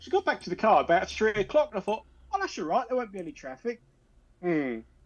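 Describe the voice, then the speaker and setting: Someone with a southern English accent talks at a very fast pace. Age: 50s. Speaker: panel regular on a live chat stream. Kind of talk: casual chat.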